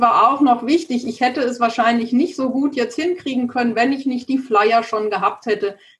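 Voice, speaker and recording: With hardly any pauses, a woman talks at a moderate pace in a high voice with ordinary pitch variation. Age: 50s. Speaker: lawyer and bank credit specialist. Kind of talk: interview. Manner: hesitant, many filler sounds.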